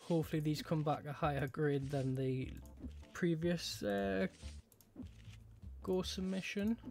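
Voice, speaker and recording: Music plays in the background as the voice moves at a fairly slow pace, with long, frequent pauses. The speech comes in a Geordie accent. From northern England, Newcastle area. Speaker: gaming YouTuber. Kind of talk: gameplay commentary. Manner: casual, chatty.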